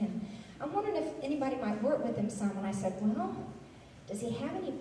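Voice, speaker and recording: A woman at a fairly quick pace with ordinary pitch variation, some audible room echo and light background noise. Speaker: tap dance teacher. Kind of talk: speech to party guests, anecdote. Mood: warm, amused. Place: hall.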